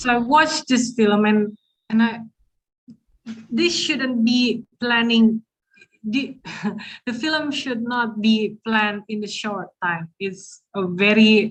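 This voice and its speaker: The speaker has a non-native accent and a somewhat breathy voice. The pace is very slow, with long, frequent pauses. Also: woman, fairly high pitch for a woman, ordinary pitch variation. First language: not English. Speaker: festival moderator. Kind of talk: panel interview. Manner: halting.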